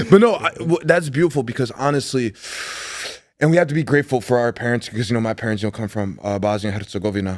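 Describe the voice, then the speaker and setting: In a Chicago accent, the speaker talks very fast with an animated tone and lively intonation. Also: man, medium pitch for a man. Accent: Chicago American English. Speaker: podcast host, sports journalist. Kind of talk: casual interview chat.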